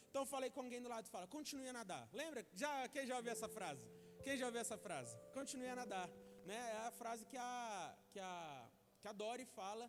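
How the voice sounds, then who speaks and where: A high-pitched man at a fairly quick pace. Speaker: preacher. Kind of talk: sermon. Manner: fast.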